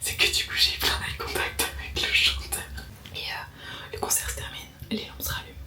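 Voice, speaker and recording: A woman is whispering at a moderate pace, with big swings in loudness. Audible room echo and noticeable background noise surround her voice. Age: 20s. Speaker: vlogger. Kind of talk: casual vlog storytelling. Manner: animated.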